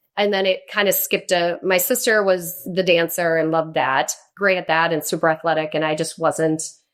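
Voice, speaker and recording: A woman with a normal speaking voice holds a medium pitch and a moderate pace. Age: 40s. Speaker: countertop company representative. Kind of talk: casual chat.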